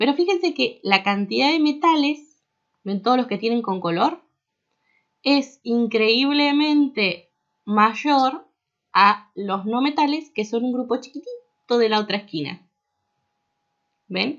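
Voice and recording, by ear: A woman at a slow pace, fairly high in pitch and fairly bright in tone, with lively intonation and long, frequent pauses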